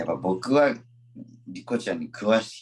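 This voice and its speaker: This is a man's voice. He talks at a fairly slow pace. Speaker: stage actor. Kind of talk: casual chat.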